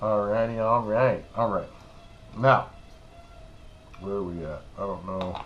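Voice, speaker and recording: Recorded with audible room echo, a man talks at a fairly slow pace with long, frequent pauses, big swings in loudness, and fairly even intonation. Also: fairly low pitch for a man. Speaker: RC hobby youtuber. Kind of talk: tutorial. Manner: casual, halting with fillers.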